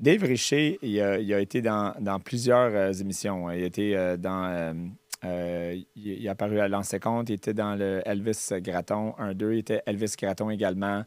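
An ordinary speaking voice comes from a man with a fairly low pitch, at a moderate pace and with fairly even intonation. The sound is dry with no echo, over a quiet background. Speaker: podcast host. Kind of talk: casual interview talk. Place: studio. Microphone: studio mic.

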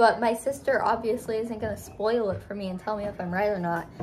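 Over light background noise, a woman with an American accent talks at a fairly quick pace. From Upstate New York (Adirondacks); New York. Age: 20s. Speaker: college student vlogger. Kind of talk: casual vlog. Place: home room. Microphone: phone near.

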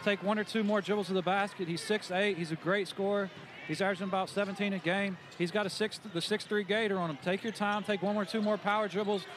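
A man's high-pitched, monotone, flat delivery at a very fast pace, dry with no echo, over noticeable background noise. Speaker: color commentator. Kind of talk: live color commentary, analytical. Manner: measured, explanatory, conversational analyst. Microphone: headset.

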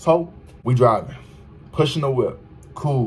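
Speech from a man, ordinary pitch variation throughout. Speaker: vlogger. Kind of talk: casual vlog chat, story time. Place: home room. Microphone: phone near.

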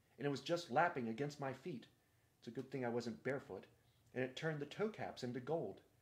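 Reading aloud in a natural voice, this speaker shows ordinary pitch variation.

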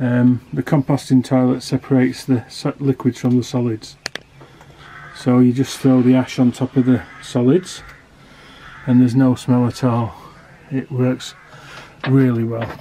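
A man at a fairly slow pace, monotone and flat, with long, frequent pauses over light background noise. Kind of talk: casual vlog chat. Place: garden. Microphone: phone near.

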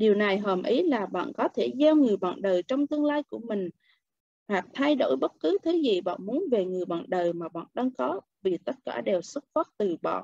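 At a fairly slow pace, a woman with a medium pitch and a dark, mellow tone makes very wide pitch swings. The sound is dry with no echo, against a quiet background. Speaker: book club member; book club reader. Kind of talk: reading aloud. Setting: video call. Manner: expressive. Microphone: video call.

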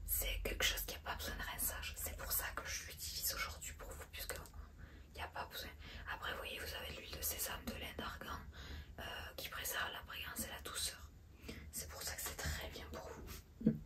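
Against loud background noise, a woman speaks at a moderate pace with long, frequent pauses. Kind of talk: role-play salon chat to a client. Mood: soft, friendly, attentive. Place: shop. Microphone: phone near.

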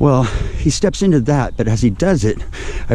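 In a normal speaking voice, the speaker goes at a fairly slow pace with lively intonation and a dry sound with no echo. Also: man. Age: 50s. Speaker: vlogger and actor; vlogger, actor. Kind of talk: casual storytelling vlog. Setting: outdoors walking in a park. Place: forest. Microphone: phone near.

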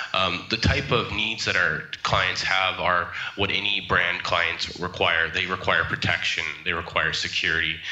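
In a room with audible echo, a man with a very deep, low voice speaks at a moderate pace in a monotone, flat intonation with very even loudness. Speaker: trademark consultant; remote guest. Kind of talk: interview. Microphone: video call.

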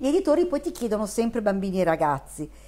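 A woman speaks with a Neapolitan accent. Her pitch is fairly high. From Milan, northern Italy. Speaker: children's book author. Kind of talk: interview; interview answer. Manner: hesitant, with fillers. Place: home room.

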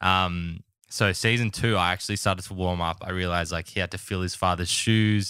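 A man with an Australian accent and a very deep, low pitch speaks at a fairly quick pace in a monotone, flat intonation with a bright, sharp tone, on a very clean recording with a silent background. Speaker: podcast host. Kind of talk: casual chat.

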